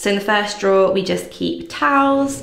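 At a moderate pace, the speaker's voice has audible room echo and light background noise. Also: woman. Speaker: lifestyle vlogger. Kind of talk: casual room tour chat. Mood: cheerful, upbeat. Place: bathroom. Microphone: phone near.

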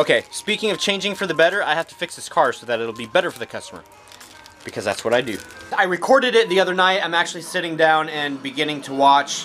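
Over faint background music, a high-pitched man speaks at a very fast pace with big swings in loudness. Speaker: mechanic vlogger. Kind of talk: casual vlog chat. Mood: goofy, upbeat. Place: garage. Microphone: phone near.

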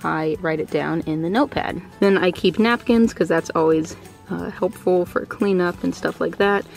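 With faint music in the background, a woman with a fairly low pitch and ordinary pitch variation speaks at a moderate pace in a dry sound with no echo. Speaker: car owner vlogger. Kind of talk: casual vlog chat. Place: car. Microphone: phone near.

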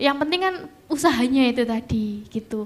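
A woman is speaking. Her pace is moderate. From East Java (Lamongan); East Java, Indonesia. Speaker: nurse and alumna sharing experience; panelist. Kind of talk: talk to students; panel talk sharing personal experience. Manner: halting. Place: stage. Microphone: handheld.

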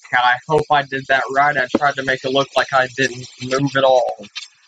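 Against noticeable background noise, a man talks at a fairly slow pace with a fairly high pitch. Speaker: gamer. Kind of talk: let's play commentary. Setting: home recording. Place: home room. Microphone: webcam.

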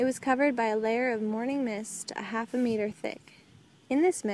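The clip features a natural voice reading a text aloud.

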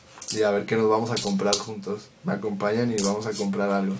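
Noticeable background noise surrounds a man whose speech moves at a fairly quick pace. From Mexico. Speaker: vlogger and event videographer; vlogger. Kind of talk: casual vlog chat. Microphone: camera far.

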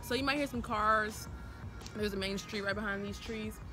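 A woman speaks at a moderate pace with ordinary pitch variation. The sound is dry with no echo, and music is clearly heard in the background. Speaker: vlogger. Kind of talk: casual vlog chat. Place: garden. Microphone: phone near.

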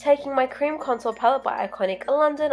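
A woman with an Australian accent speaks at a moderate pace over music in the background. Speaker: makeup artist. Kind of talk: makeup tutorial voiceover.

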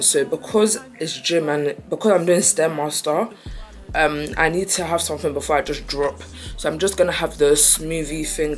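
Over faint music in the background, a woman with a very deep, low pitch speaks at a moderate pace with ordinary pitch variation. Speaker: vlogger. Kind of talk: casual vlog chat. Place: home room. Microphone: phone near.

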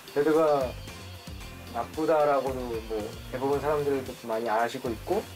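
A man keeps a moderate pace while clear music sounds in the background. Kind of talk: interview answer. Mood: relaxed, playful. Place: studio.

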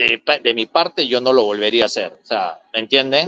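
The man's tone is bright and sharp, his pace moderate, and the sound is dry with no echo against a quiet background. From Peru. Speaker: former footballer and football coach. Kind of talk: casual interview. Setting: video call. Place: home room. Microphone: video call.

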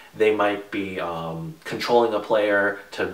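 A man with a fairly low pitch and fairly even intonation, with audible room echo. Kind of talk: tutorial.

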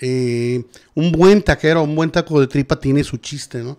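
At a moderate pace, a man with a fairly high pitch talks against a quiet background. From Mexico. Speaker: podcast guest or host. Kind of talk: casual chat. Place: studio. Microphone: studio mic.

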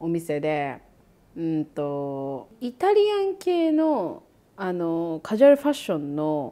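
On a very clean recording with a silent background, a woman talks at a fairly slow pace. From Japan. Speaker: YouTuber and podcast host. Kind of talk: casual chat.

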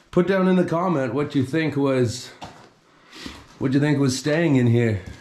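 At a fairly slow pace, the voice carries a dark, mellow tone with audible room echo. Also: man. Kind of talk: casual vlog commentary. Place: empty room. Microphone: phone near.

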